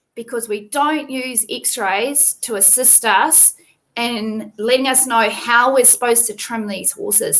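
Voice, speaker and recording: A woman's high voice in a New Zealand accent, at a fairly slow pace with ordinary pitch variation. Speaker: veterinarian. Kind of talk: tutorial. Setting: live video stream. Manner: casual, conversational.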